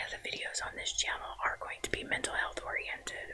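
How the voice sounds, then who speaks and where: A man is whispering. His tone is relaxed and calm. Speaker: social worker, ASMR channel host. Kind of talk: ASMR introduction talking to camera. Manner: relaxed, calm, conversational.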